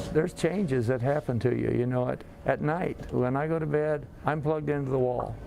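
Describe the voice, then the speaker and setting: A man's fairly quick, fairly even delivery over noticeable background noise. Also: medium pitch for a man. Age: 70s. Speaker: heart patient. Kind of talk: testimony.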